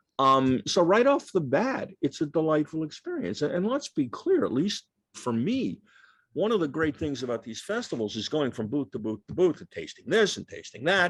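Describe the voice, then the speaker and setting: This man has an American accent and a fairly high pitch with very wide pitch swings. He goes at a moderate pace, with big swings in loudness. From New York. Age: 60s. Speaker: author. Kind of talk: Q&A at a book talk.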